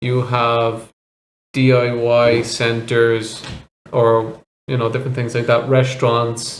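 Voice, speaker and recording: In a Dublin accent, a man at medium pitch speaks at a very slow pace with monotone, flat intonation. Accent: Irish (Dublin). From Ireland, Dublin. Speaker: vlogger. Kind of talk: interview.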